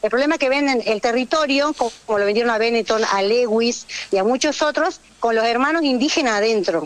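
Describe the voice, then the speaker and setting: Over noticeable background noise, a high-pitched woman talks at a fairly quick pace with lively intonation and very even loudness. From Jujuy, northwest Argentina. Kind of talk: radio interview.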